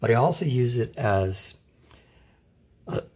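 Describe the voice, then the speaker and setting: Here a man speaks in a somewhat breathy voice. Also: very clean recording, silent background. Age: 60s. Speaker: artist and scientific illustrator, former teacher. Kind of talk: casual tutorial. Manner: halting, many fillers and restarts.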